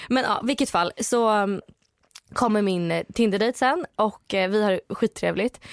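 A woman with a fairly high voice speaks very slowly and at a very even loudness, with fairly even intonation and long, frequent pauses, in a dry, close sound with no echo. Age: 20s. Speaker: podcast co-host. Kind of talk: casual chat.

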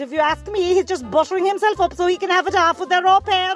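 With music playing in the background, a woman speaks in a North Cork accent with ordinary pitch variation. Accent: North Cork Irish. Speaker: caller to comedy advice segment. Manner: gossipy, comic rant.

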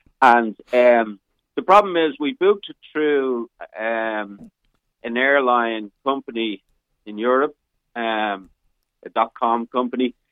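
Very slow male speech broken by long, frequent pauses. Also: medium pitch for a man, ordinary pitch variation, big swings in loudness. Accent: Irish. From Ireland. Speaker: caller. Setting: phone call.

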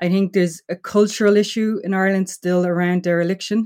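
A woman has an unremarkable speaking voice at a moderate pace. The recording is very clean, with a silent background. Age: 40s. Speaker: systems designer and housing activist. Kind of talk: interview.

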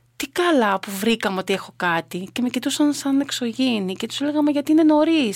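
A woman's high-pitched voice in a dry, close sound with no echo. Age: 50s. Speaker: triathlete and lifeguard volunteer. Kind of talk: interview.

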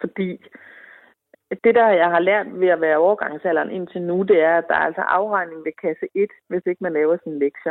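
With fairly even intonation, a plain, everyday voice proceeds at a moderate pace. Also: woman, fairly low pitch for a woman. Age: 40s. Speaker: woman in menopause. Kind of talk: interview.

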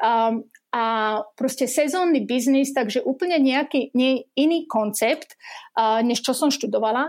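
A woman speaks at a fairly slow pace in a high pitch, with ordinary pitch variation and very even loudness. The recording is very clean, with a silent background. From western Slovakia, near Trnava. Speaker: amusement park manager. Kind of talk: interview.

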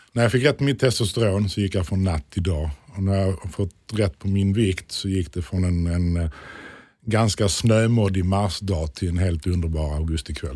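On a very clean recording with a silent background, a man with a very deep, low, somewhat breathy voice and a dark, mellow tone speaks at a moderate pace with ordinary pitch variation. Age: 40s. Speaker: interview guest sharing weight-loss story. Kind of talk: interview. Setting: studio.

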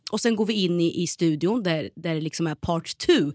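In an ordinary speaking voice, a woman talks at a moderate pace with lively intonation and a fairly low pitch, the sound dry and close with no echo on a very clean recording with a silent background. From Sweden, Norrköping (Östergötland). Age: 30s. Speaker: TV presenter and actress. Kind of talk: casual interview.

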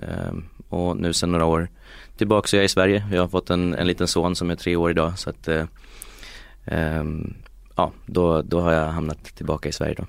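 A man with a very deep, low pitch and ordinary pitch variation talks at a fairly quick pace on a very clean recording with a silent background. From Sweden, Uppsala. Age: 30s. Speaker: tech company executive. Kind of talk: interview. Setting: studio. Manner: halting, many repetitions.

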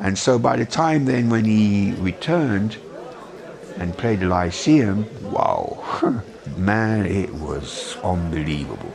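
A man with a medium pitch and lively intonation is heard against noticeable background noise. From Jamaica, raised in London England. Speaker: photographer. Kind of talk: recounting memories in an interview.

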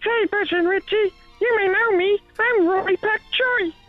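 Faint music plays behind a put-on character voice pitched extremely high and delivered at a moderate pace. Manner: comedic impression.

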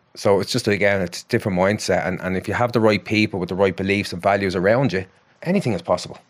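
A man with a Dublin accent at a very fast pace, fairly low in pitch with fairly even intonation. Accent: Dublin Irish. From Ireland, Dublin (Ballymun). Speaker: psychotherapist. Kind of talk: casual chat.

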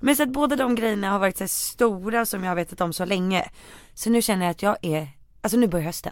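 Speaking at a very fast pace with lively intonation, a woman at medium pitch is heard on a very clean recording with a silent background. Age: 20s. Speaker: podcast co-host. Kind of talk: casual chat.

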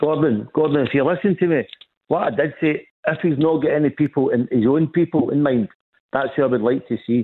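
In a Scottish accent, a man with a fairly high pitch talks at a fairly quick pace, with very even loudness and ordinary pitch variation. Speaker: football fan caller. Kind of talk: radio phone-in. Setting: phone call. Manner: animated.

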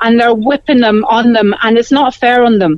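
A voice in a Cork accent with ordinary pitch variation and a dry, close sound with no echo. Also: woman. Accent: Cork Irish. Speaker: caller. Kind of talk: phone-in chat.

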